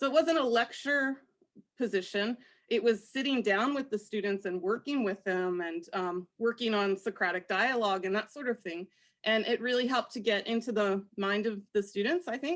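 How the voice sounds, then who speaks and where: In a very clean recording with a silent background, a woman talks at a moderate pace and a fairly high pitch, with ordinary pitch variation. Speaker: professor. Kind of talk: panel discussion. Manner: loud, projecting; animated.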